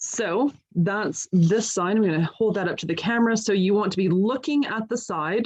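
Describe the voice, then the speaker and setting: At a moderate pace, a woman with a normal speaking voice talks, her pitch showing ordinary variation. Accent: Canadian. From Canada. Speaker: guide leader and scientist. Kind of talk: tutorial. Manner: clear, step-by-step instructional.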